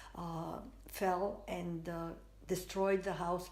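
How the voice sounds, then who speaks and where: Very slow speech from a woman, audible room echo around her. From Spain. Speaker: artist. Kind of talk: interview, life story. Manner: halting, many fillers.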